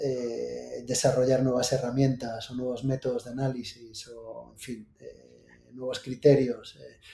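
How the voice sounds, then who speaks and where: A man talks at a fairly slow pace in a dark, mellow tone. His voice is somewhat breathy, with monotone, flat intonation. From Galicia, Santiago de Compostela. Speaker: naval engineering company founder. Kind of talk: casual interview. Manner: hesitant with many fillers.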